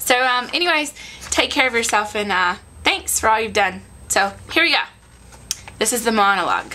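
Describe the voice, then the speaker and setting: Over noticeable background noise, a woman with an American accent talks at a moderate pace, her fairly high pitch carrying lively intonation. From Southern US. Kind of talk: casual personal video message.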